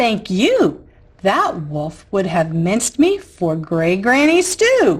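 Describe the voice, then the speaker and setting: A woman's put-on character voice at a medium pitch, delivered at a very slow pace. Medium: read story. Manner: feisty, spirited.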